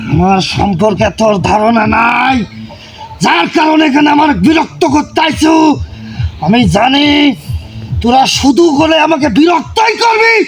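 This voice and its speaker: A man does a put-on character voice at an extremely high pitch. He goes at a fairly slow pace over clear music in the background. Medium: voice reel. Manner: hostile, threatening, contemptuous.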